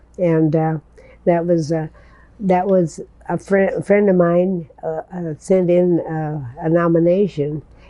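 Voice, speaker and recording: The speech is very slow and in a flat monotone. It comes with a Midwestern US accent. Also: woman, fairly low pitch for a woman. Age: 80s+. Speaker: hospice volunteer. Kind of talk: interview answer. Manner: hesitant, repeating words.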